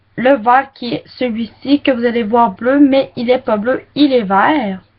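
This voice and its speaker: Speaking at a very slow pace, a woman has a high pitch and a Quebec accent. Her pitch varies in an ordinary way. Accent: Québécois. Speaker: beauty vlogger. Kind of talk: makeup product review. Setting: webcam recording. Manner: casual, hesitant.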